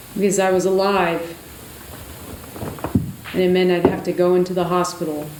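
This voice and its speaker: Noticeable background noise sits under a woman who speaks at a moderate pace. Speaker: doctor and storyteller. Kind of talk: one-person stage show monologue.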